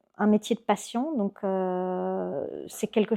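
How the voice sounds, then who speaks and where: A very slowly paced woman's voice. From Belgium (Brussels), Greek family. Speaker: architect. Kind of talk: podcast interview. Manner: hesitant, many filler sounds.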